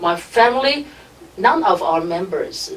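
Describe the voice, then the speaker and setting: With noticeable background noise, a woman with a Chinese accent speaks at a fairly slow pace, her pitch swinging very widely. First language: Mandarin Chinese. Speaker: radio station director. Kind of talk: interview. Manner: halting.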